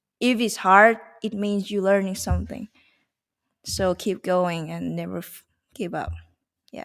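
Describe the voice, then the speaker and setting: A woman with a Thai accent at a fairly slow pace, with long, frequent pauses and big swings in loudness, on a very clean recording with a silent background. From Thailand. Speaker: Muay Thai fighter. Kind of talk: interview.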